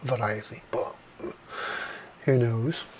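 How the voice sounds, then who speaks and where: The intonation stays fairly even. Noticeable background noise sits behind the voice. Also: man. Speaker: retro computer hobbyist youtuber. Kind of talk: casual repair tutorial monologue. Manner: casual, rambling.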